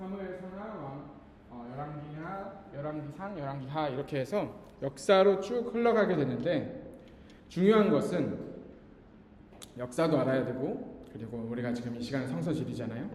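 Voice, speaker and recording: A man's fairly high voice at a moderate pace, very wide pitch swings and big swings in loudness, amid noticeable background noise and audible room echo. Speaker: pastor teaching a Bible geography class. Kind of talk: lecture.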